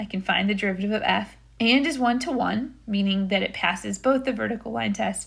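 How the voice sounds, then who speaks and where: Vocal fry from a woman at a fairly quick pace, with ordinary pitch variation, in a very clean recording with a silent background. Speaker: math teacher. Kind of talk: recorded lecture.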